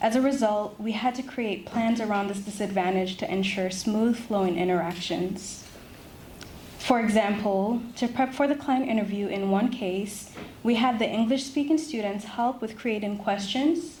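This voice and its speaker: Amid noticeable background noise, a woman with a fairly high pitch speaks at a moderate pace with ordinary pitch variation. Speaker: law student. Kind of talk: prepared presentation. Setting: ceremony with audience.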